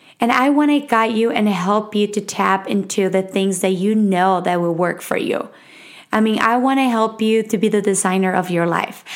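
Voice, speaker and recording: With a Mexican accent, a woman talks at a moderate pace and medium pitch, her loudness very even and her pitch variation ordinary. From Mexico City. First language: Spanish. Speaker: podcast host. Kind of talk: casual solo monologue. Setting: home recording. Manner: nervous, halting.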